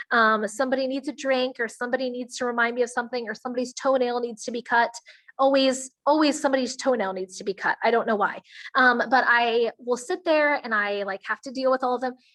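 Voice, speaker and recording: Against a quiet background, a woman talks at a very fast pace in a high pitch with fairly even intonation and a dry, close sound with no echo. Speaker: network marketing distributor. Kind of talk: online presentation to a team.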